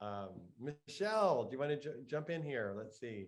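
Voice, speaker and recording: A man with an American accent has an ordinary speaking voice. He talks at a fairly slow pace with lively intonation. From Texas, Lubbock. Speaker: meditation teacher and host. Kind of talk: casual chat. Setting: video call.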